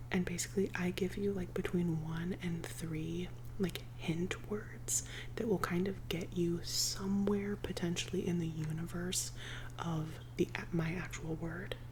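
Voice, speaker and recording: A soft-spoken woman talks at a fairly slow pace against noticeable background noise. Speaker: ASMR creator. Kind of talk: ASMR rambling, casual talk to camera. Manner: soft-spoken, cozy.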